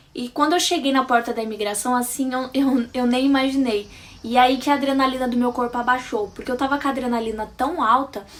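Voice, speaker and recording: At a fairly quick pace, a woman speaks in an animated tone at a high pitch with ordinary pitch variation. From Brazil. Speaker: vlogger. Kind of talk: casual storytelling vlog.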